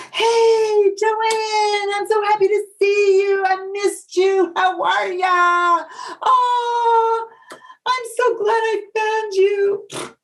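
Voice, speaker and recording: A woman's put-on character voice at an extremely high pitch, very slow, with monotone, flat intonation. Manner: gushing, phony sweet.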